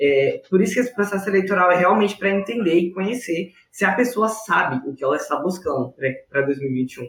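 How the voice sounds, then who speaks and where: Lively in intonation, the man's voice sits at a high pitch. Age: 20s. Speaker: engineering student and junior enterprise president. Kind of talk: podcast interview.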